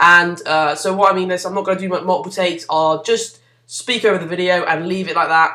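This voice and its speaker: A man speaks in a raised, projected voice at a very fast pace, his high pitch carrying a bright, sharp tone. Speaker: gaming YouTuber. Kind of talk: gameplay commentary. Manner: mumbling; hesitant, many fillers.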